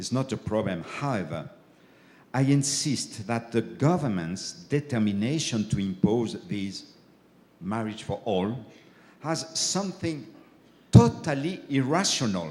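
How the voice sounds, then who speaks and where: A man with a French accent, vocal fry and very wide pitch swings, long, frequent pauses, audible room echo. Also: medium pitch for a man. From France. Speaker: bishop, keynote speaker. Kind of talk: keynote lecture. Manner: halting, with fillers.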